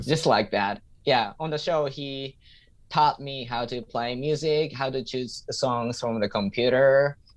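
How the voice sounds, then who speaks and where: A man with a Japanese accent at a fairly slow pace, against a quiet background. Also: medium pitch for a man, ordinary pitch variation. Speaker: stand-up comedian and English teacher. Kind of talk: interview answer.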